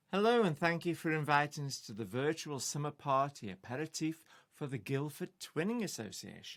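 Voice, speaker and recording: A fairly high-pitched man with a Potteries accent talks at a fairly quick pace with lively intonation. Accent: Potteries (Stoke) English. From Stoke-on-Trent, England. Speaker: folk singer-songwriter. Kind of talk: casual chat.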